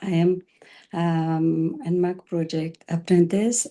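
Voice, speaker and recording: A woman speaks in a Pashto accent. Her tone is dark and mellow. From Afghanistan. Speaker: early childhood education apprentice. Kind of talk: panel introduction.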